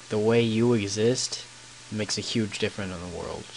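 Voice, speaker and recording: Quiet, fairly low-pitched male voice at a moderate pace, monotone and flat in intonation, over noticeable background noise. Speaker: gaming YouTuber. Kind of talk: gameplay commentary with storytelling. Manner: halting, many fillers.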